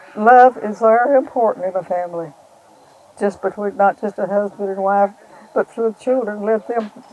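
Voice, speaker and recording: In an Appalachian accent, a woman speaks at a moderate pace with a medium pitch and a dark, mellow tone. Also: ordinary pitch variation. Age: 80s+. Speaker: farmer's mother, widow. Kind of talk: interview testimony.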